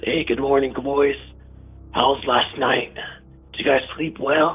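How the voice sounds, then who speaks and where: Faint music plays in the background as a man uses a raspy, put-on character voice at a fairly high pitch, talking at a fairly slow pace in a monotone, flat intonation. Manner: casually friendly.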